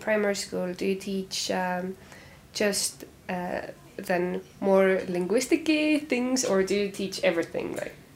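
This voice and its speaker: A woman talks at a fairly slow pace with a medium pitch. She has an unremarkable speaking voice and ordinary pitch variation. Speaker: podcast host, linguistics student. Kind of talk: casual interview.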